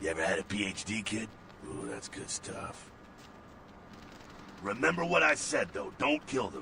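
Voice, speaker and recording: A man puts on a raspy character voice at a fairly low pitch and a moderate pace. Long, frequent pauses break up his speech, and clear background noise is audible. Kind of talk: video game voice acting. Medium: video game. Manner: sardonic, casual, streetwise.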